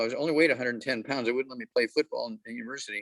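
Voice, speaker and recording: A man's voice with a dry, close, echo-free sound on a very clean recording with a silent background. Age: 80s+. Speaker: health supplement promoter. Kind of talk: talk to club meeting.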